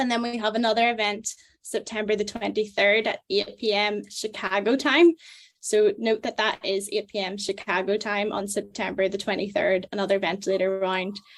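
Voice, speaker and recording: In a Northern Irish accent, a woman speaks at a medium pitch and moderate pace with fairly even intonation. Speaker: medical student, webinar moderator. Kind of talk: event introduction. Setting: video call webinar.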